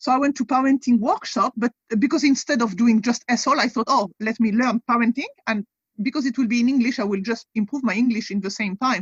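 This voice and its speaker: A woman with a French accent speaks fairly quickly at a high pitch with ordinary pitch variation, the sound dry and close with no echo. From France. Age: 40s. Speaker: convert guest, wellness and nutrition coach. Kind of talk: interview.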